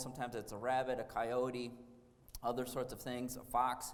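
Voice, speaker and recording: Moderate-paced speech from a man with an American accent, plus audible room echo. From Wisconsin, US Midwest. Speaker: architect. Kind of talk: lecture. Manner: hesitant, many fillers.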